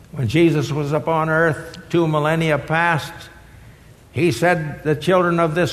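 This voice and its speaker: The intonation is monotone and flat, with audible room echo. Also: man. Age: 80s+. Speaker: retired seminary professor and guest preacher. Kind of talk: sermon.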